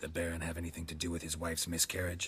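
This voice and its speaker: A man growls in a put-on character voice, very deep and low, with monotone, flat intonation at a very fast pace over clear background noise. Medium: video game. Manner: dry, terse.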